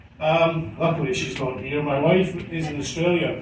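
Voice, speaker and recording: A man with a Scottish accent talks at a moderate pace in a fairly high pitch with fairly even intonation. There is audible room echo and noticeable background noise. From Scotland, Glasgow. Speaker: cruise ship hotel director. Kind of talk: after-dinner speech. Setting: stage with audience at ship party. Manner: hesitant, many fillers.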